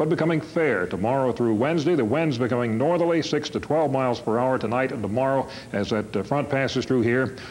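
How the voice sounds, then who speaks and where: A man with an American accent talks very fast at a medium pitch, with hardly any pauses, very even loudness and ordinary pitch variation, over noticeable background noise. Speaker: TV weatherman and news reader. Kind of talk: weather forecast. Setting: 1978 television broadcast.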